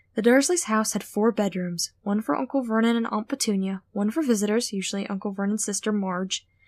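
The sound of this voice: An unforced voice reads the text aloud.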